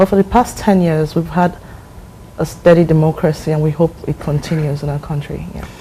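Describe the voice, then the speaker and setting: A woman with a Nigerian accent speaks at a very deep, low pitch with fairly even intonation. Her pace is fairly quick, and background noise is noticeable. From Nigeria, Lagos State. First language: Ibibio. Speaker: visiting professional, market analyst. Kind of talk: TV interview. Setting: TV studio.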